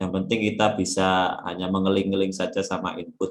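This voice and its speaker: Speaking at a fairly slow pace, a man uses a fairly low voice. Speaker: workshop presenter. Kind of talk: tutorial.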